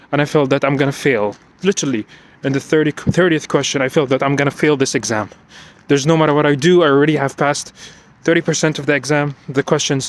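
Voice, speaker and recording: A man talks at a very fast pace with a non-native accent. His loudness stays very even. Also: fairly high pitch for a man. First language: not English. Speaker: IT security professional. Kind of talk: personal vlog monologue. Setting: outdoors, walking at night. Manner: unscripted, repetitive and halting.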